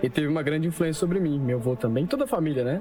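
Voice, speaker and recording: Noticeable background noise runs under a man whose pitch varies in an ordinary way. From Brazil, São Paulo. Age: 20s. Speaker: convert giving testimony. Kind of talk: testimony.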